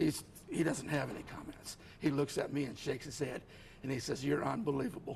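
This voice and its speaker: Through noticeable background noise, a man talks at a fairly quick pace, his fairly high pitch showing ordinary variation. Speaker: author with multiple sclerosis. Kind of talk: TV interview.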